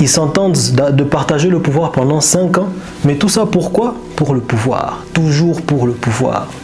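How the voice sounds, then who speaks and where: A man with a fairly high pitch and a non-native accent speaks at a fairly slow pace with ordinary pitch variation, with music in the background and audible room echo. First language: not French (speaking French). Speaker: commentator on history and power. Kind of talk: monologue commentary. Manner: halting, with repetitions.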